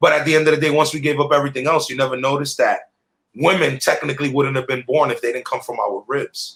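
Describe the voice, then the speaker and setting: A man speaks in a fairly high pitch with fairly even intonation. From New York, the Bronx. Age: 30s. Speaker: rapper. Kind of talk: interview.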